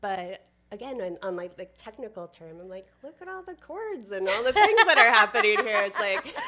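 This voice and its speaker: A soft-spoken woman talks at a moderate pace with a fairly high pitch and lively intonation. Her loudness swings widely, and she hardly pauses. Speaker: community builder. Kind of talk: podcast interview. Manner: quiet.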